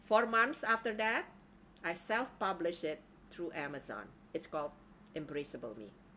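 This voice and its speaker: A woman with a fairly low pitch and a bright, sharp tone speaks at a moderate pace, with very wide pitch swings, vocal fry, big swings in loudness, and long, frequent pauses. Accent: Indonesian. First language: Indonesian. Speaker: life coach. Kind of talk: online training talk.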